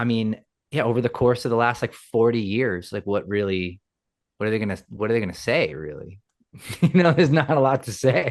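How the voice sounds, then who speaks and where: In a New York accent, a man at medium pitch talks at a fairly quick pace with lively intonation. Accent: New York City. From Queens, New York City. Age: 40s. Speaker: rock musician. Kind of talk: casual interview. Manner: halting, many repeated words.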